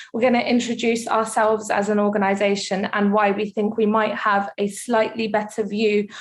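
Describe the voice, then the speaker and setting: Noticeable background noise behind a woman's fairly high voice at a fairly quick pace. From Russia, raised in the UK from age five. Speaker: charity worker. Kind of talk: webinar presentation. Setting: online webinar. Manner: casual, with frequent fillers.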